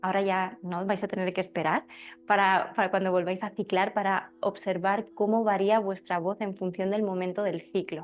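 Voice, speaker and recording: Moderate-paced speech from a woman with a Spanish accent, medium in pitch, in a monotone, flat intonation. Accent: Spain Spanish. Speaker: birth preparation teacher. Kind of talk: class talk. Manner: halting.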